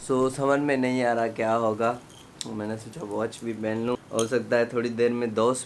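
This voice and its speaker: A man's monotone, flat intonation is heard against noticeable background noise. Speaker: vlogger. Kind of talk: casual vlog.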